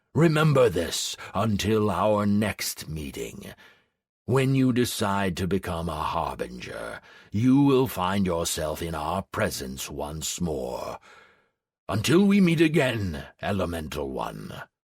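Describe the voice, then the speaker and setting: In a growling, solemn put-on character voice, a man speaks at a fairly low pitch and a fairly slow pace with very wide pitch swings. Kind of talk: fantasy audiobook. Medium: read story.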